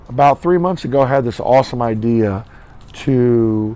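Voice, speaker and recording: Speaking at a moderate pace, a man has a medium pitch. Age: 30s. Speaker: teacher and coach. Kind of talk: casual vlog talk to camera.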